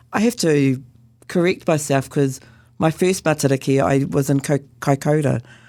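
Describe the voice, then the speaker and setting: A woman with a New Zealand accent has a very deep, low, dark, mellow voice with ordinary pitch variation and very even loudness. She speaks at a moderate pace in a very clean recording with a silent background. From New Zealand, Northland (Whangarei). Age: 60s. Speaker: Anglican priest and Māori chaplain. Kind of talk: interview.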